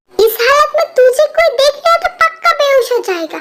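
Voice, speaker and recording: Using a put-on character voice, a woman speaks at a moderate pace in an extremely high pitch with very wide pitch swings. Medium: audio drama. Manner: familiar, scolding, using informal tu.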